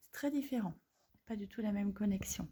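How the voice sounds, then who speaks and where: The woman's voice is somewhat breathy. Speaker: holistic therapist. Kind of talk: casual demonstration video. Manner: hesitant, many fillers.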